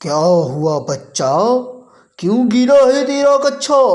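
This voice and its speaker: The speaker does a cartoonish character voice with very wide pitch swings. The pace is very slow. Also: man, extremely high pitch for a man. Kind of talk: comic rhyming.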